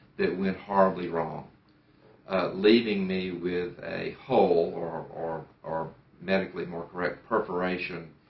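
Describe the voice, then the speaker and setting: With audible room echo, a man speaks at a fairly slow pace in a very deep, low pitch. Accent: American. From United States. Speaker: surgery patient. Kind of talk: testimony. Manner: halting, with fillers and repetitions.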